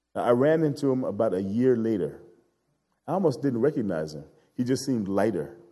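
Amid audible room echo, a man with a medium pitch and dark, mellow tone talks at a fairly quick pace, his pitch swinging very widely between long, frequent pauses. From Chicago South Side. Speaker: guest preacher and anti-racism organizer. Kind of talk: sermon.

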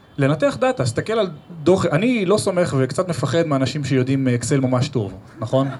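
Noticeable background noise sits behind a man with a fairly high pitch and lively intonation. He talks at a fairly quick pace with very even loudness. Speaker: marketing professional. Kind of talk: live podcast interview with audience. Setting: stage with live audience.

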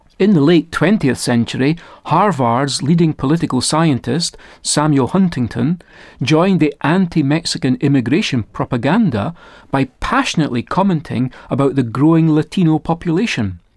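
Lively intonation in a Scottish accent, with very even loudness. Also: man, fairly high pitch for a man, moderate pace. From Scotland. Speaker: Bible teacher. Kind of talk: recorded Bible teaching talk. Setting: studio. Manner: formal.

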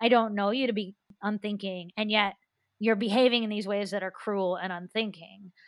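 Monotone and flat, a woman speaks at a medium pitch and a moderate pace. The sound is dry and close, with no echo. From US Appalachia (West Virginia). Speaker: author and schoolteacher. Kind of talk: interview.

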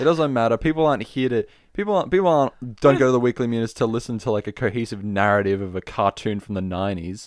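A man with an Australian accent and medium pitch, very fast pace, lively intonation, and a quiet background. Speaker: podcast co-host. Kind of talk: casual chat.

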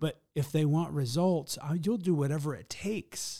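A man with a Midwestern American accent and a fairly high pitch speaks in a dark, mellow tone on a very clean recording with a silent background. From US Midwest (rural Michigan thumb). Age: 40s. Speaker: business coach and speaker. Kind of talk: podcast interview. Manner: energetic.

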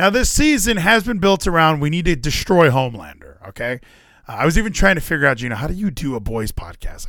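Over a silent background in a very clean recording, a man speaks at a fairly quick pace. His fairly high pitch has a bright, sharp tone and very wide pitch swings. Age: 30s. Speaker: wrestling podcast host. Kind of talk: casual chat. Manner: animated.

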